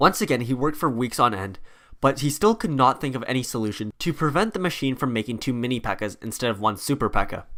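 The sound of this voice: It is an unforced reading voice. The words are simply read aloud.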